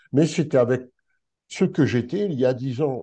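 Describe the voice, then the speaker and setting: With a quiet background, a man talks at a medium pitch in a dark, mellow tone. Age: 60s. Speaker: spiritual teacher. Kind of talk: interview.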